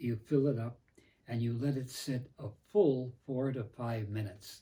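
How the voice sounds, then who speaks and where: A man at a fairly slow pace, medium in pitch with ordinary pitch variation, somewhat breathy and dark, mellow in tone. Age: 90s. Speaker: professor and priest. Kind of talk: tutorial. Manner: halting.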